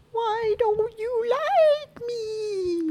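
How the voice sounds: This is a put-on character voice that sounds female. Its pitch is extremely high for a woman.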